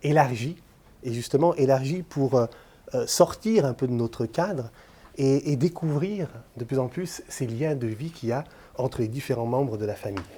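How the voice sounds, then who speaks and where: At a fairly slow pace, a man speaks with lively intonation and a fairly high pitch. His voice is somewhat breathy. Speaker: lecturer. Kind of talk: lecture. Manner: hesitant, many filler sounds.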